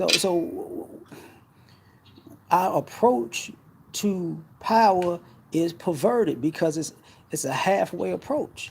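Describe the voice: At a high pitch, a man talks slowly with long, frequent pauses, ordinary pitch variation, vocal fry, a slightly mellow tone and a slightly husky edge.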